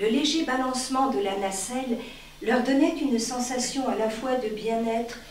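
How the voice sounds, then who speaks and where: A woman with a high voice talks at a fairly slow pace, with audible room echo and light background noise. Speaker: reader of a short story. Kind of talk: literary audiobook reading, a live public reading of a short story. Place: stage. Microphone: camera far.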